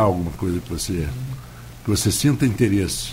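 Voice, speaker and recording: A man speaks over noticeable background noise. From Rio de Janeiro, Tijuca. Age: 70s. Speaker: radio host. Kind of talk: radio interview. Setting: radio studio. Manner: halting, many fillers.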